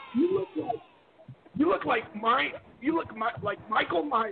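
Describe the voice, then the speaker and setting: A man speaks fairly slowly at an extremely high pitch. His pitch swings very widely, and there is noticeable background noise. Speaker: caller. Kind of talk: casual chat. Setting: phone call.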